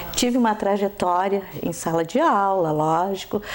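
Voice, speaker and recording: A woman talks at a very slow pace as noticeable background noise continues underneath. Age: 70s. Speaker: school educator and supervisor. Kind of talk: interview.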